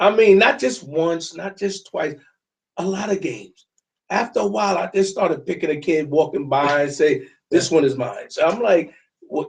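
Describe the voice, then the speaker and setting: Speaking at a moderate pace with a New York accent, the voice carries lively intonation. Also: man, high pitch for a man. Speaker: soccer parent and youth football coach. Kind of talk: casual chat.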